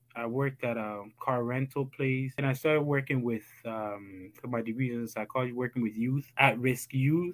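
Here is a man with a normal speaking voice at medium pitch. He keeps a moderate pace with fairly even intonation and hardly any pauses. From Ghana, raised in Toronto, Canada from age 10. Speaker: school founder. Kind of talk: interview.

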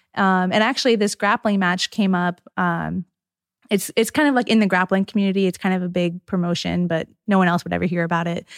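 The sound is dry and close with no echo, on a very clean recording with a silent background. Delivery comes at a fairly quick pace with fairly even intonation. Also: woman, medium pitch for a woman. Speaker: UFC fighter. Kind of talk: casual interview. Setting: gym. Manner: soft-spoken.

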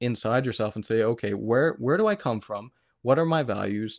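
A man speaks in a normal speaking voice with a Canadian accent, at a moderate pace, with a medium pitch, ordinary pitch variation and a quiet background. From Canada, Atlantic provinces. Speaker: podcaster. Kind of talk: casual chat.

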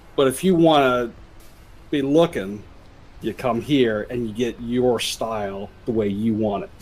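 In an ordinary speaking voice, a man talks at a fairly slow pace with medium pitch, ordinary pitch variation and big swings in loudness. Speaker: tabletop game player. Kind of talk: tabletop roleplaying game session.

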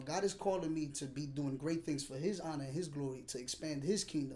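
This man speaks at a fairly quick pace with fairly even intonation. His pitch is fairly high, and it is a normal speaking voice. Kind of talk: testimony.

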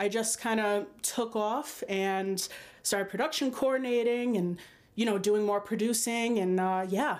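This woman speaks fairly slowly with a strong Rhode Island accent and a fairly high pitch. Her loudness is very even, and her pitch varies in an ordinary way. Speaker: film producer and actor. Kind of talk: casual interview.

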